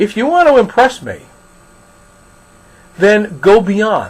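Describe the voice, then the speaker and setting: A man with an American accent speaks at a very slow pace in a high pitch. There is noticeable background noise. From New York. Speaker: college instructor. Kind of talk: recorded lecture.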